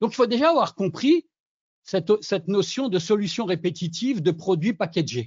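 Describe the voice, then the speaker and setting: High male voice with very wide pitch swings, delivered at a moderate pace. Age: 60s. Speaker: sales expert and forum founder. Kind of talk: interview.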